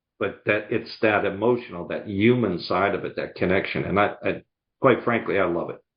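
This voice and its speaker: With a slight Boston accent, a man speaks at a moderate pace in a fairly low pitch, with fairly even intonation. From US Northeast, outside Boston, Massachusetts. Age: 70s. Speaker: sales coach and speaker. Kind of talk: podcast interview.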